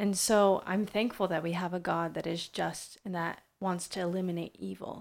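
A woman's medium-pitched voice stays monotone and flat as she talks at a moderate pace. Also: very clean recording, silent background. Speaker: co-host, school teacher. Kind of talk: casual chat.

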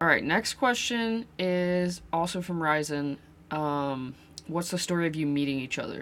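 This woman has a normal speaking voice with a fairly low pitch. She talks at a fairly slow pace with ordinary pitch variation. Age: 20s. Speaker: podcast host and gaming content creator. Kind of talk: casual chat.

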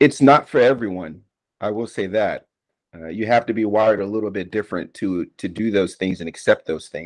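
A plain, everyday voice: a man with an American accent, fairly low pitch, ordinary pitch variation and moderate pace, in a dry, close sound with no echo. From Washington, D.C. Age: 40s. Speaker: retired army sergeant, veteran. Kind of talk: oral history interview.

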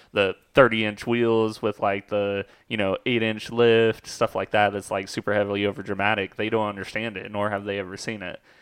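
A man with an American accent and a fairly low pitch talks in a monotone, flat way at a fairly quick pace against a quiet background. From Oklahoma. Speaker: podcast host. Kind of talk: casual chat. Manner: casual, talkative.

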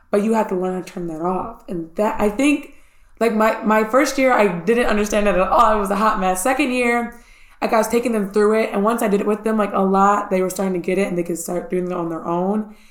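Noticeable background noise sits behind a woman's medium-pitched voice. She talks at a fairly quick pace with ordinary pitch variation. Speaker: elementary school teacher, podcast co-host. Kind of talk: casual chat. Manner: fast.

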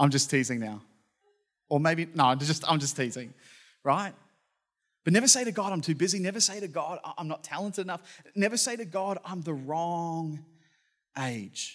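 Someone with an Australian accent speaks with lively intonation and long, frequent pauses. The recording is very clean, the background silent. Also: man, high pitch for a man, moderate pace. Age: 30s. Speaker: pastor. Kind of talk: sermon.

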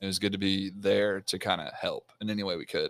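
The recording is very clean and silent behind a man with a fairly low pitch who talks at a moderate pace. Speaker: podcast co-host. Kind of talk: casual chat. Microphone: new microphone.

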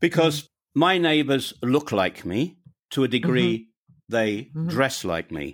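With a British accent, a man speaks at a moderate pace in a medium pitch, using lively intonation and long, frequent pauses. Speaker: podcaster and expat guest. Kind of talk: interview conversation, telling personal story.

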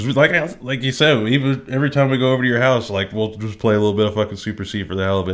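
At a very fast pace, a man speaks in a medium pitch with ordinary pitch variation. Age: 20s. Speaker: video game podcast co-host. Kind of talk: casual chat.

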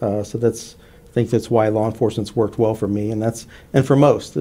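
A man with a Texan accent talks at a fairly quick pace in a medium pitch with a dark, mellow tone. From US South. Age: 50s. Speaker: law enforcement officer. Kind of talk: radio interview. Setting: studio.

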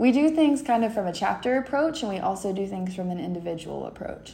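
In an American accent, a woman at medium pitch speaks with a dark, mellow tone, and the room echo is audible. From southeastern Kentucky (London). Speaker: student sorority officer. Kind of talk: podcast interview.

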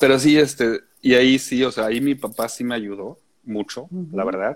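A man speaks with fairly even intonation in a normal speaking voice. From Austria (Vienna), later Mexico. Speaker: composer and musician. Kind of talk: interview.

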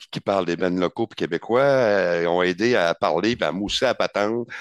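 A man's fairly low, ordinarily varied pitch at a fairly slow pace, a normal speaking voice in a dry, close sound with no echo. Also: quiet background. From Gaspésie, Quebec. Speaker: metal band vocalist. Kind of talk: casual chat.

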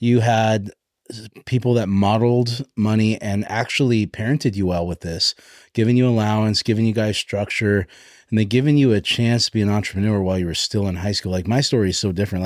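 A man with an American accent and an ordinary speaking voice, fairly low in pitch with ordinary pitch variation, at a fairly quick pace, dry and close with no echo on a very clean recording with a silent background. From US. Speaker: podcast host, real estate coach. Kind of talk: casual interview.

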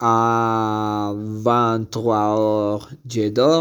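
A man speaks with a Spanish accent. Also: very clean recording, silent background. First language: Spanish (speaking French). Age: 30s. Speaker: language student. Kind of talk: reading aloud.

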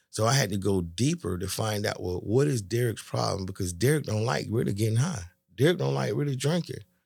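On a very clean recording with a silent background, a man with a fairly low, somewhat breathy voice speaks at a fairly quick pace with very wide pitch swings and hardly any pauses. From US South, West Palm Beach, Florida. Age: 60s. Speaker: barbecue restaurant owner. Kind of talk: testimony.

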